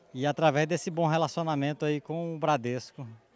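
A man with a normal speaking voice and a fairly high pitch talks at a fairly quick pace. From Maranhão, Brazil. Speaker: farmer. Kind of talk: interview.

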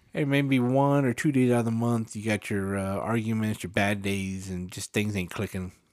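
This man has a plain, everyday voice with fairly low pitch. He talks at a fairly slow pace with ordinary pitch variation. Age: 40s. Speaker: podcast co-host. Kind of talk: casual chat.

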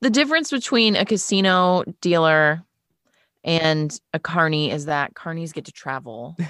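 A woman with an American accent and an unremarkable speaking voice, fairly low in pitch, with lively intonation at a moderate pace, on a very clean recording with a silent background. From Wisconsin, US Midwest. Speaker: voice actor and former radio host. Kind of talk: casual podcast interview.

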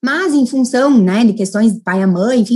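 Lively intonation from a woman with a Rio Grande do Sul accent at a moderate pace. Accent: countryside Rio Grande do Sul (gaúcho). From Rio Grande do Sul interior (Casca, near Passo Fundo). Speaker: lawyer. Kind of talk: interview.

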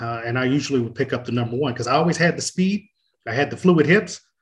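With an American accent, a man talks at a very fast pace and a medium pitch. His voice is somewhat breathy, with ordinary pitch variation. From Oceanside, California. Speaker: nonprofit executive. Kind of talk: casual chat.

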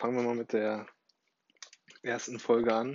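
A man speaks at a medium pitch and a very slow pace. His intonation is flat and monotone. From Germany, Dortmund (Ruhr area). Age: 20s. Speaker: podcaster, online marketing worker. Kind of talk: casual monologue.

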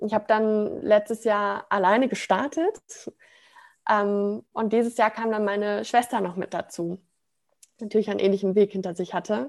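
A woman with an ordinary speaking voice talks at a moderate pace, her medium pitch following a fairly even intonation. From Ruhr area, Germany (Sprockhövel near Bochum). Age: 20s. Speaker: branding consultant, self-employed. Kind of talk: personal testimony in interview.

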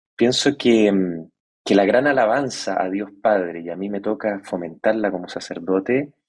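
A man with an ordinary speaking voice talks fairly slowly, his fairly low pitch showing ordinary variation. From Chile. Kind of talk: interview.

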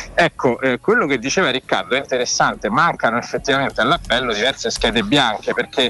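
Very fast and with hardly any pauses, a man talks at medium pitch with lively intonation and very even loudness over noticeable background noise. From Rome. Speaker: political journalist. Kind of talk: casual chat. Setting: video call.

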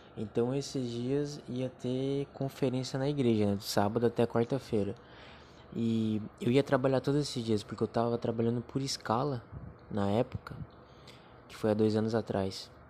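A man with an unremarkable speaking voice, medium in pitch, fairly even in intonation and moderate in pace. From Brazil, Joinville, Santa Catarina. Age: 20s. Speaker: podcaster. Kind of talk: testimony.

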